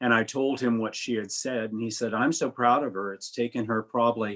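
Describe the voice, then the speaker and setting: Over a quiet background, a man speaks at a moderate pace and medium pitch with monotone, flat intonation. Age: 70s. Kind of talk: personal testimony in panel interview.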